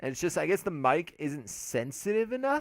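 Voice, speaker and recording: A man's voice with very wide pitch swings and a fairly quick pace, on a very clean recording with a silent background. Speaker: gaming commentator. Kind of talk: let's play commentary. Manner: loud; energetic.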